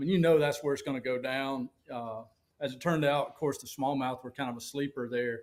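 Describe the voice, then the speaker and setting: Speaking at a fairly quick pace with a Southern US accent, a man uses a fairly high pitch and big swings in loudness. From US South, Alabama. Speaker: professional bass angler. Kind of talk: casual interview chat. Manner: animated.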